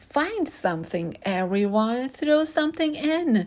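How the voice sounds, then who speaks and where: A woman speaks slowly in a put-on character voice, high in pitch with very wide pitch swings. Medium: read story.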